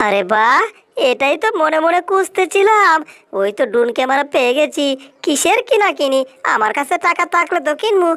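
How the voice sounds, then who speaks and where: A put-on character voice is pitched high. Its pace is moderate. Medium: fan dub.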